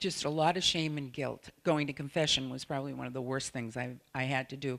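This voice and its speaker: A woman's very deep, low voice in a Boston accent, fairly even in intonation, on a very clean recording with a silent background. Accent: Boston-area accent, noticeable. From New England, Salem, Massachusetts. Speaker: sex therapist and surrogate partner. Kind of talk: conference presentation.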